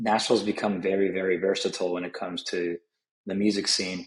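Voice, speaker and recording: A man with a Spanish accent and monotone, flat intonation. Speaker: country music artist. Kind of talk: interview.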